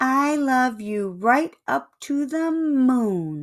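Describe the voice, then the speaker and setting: A woman speaks in a put-on character voice with a high pitch. Her pace is very slow. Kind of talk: bedtime story. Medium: read story.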